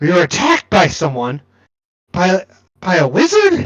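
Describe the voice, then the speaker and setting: This man puts on a character voice pitched high. He talks at a moderate pace. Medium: actual play. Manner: stammering, nervous, repeating words.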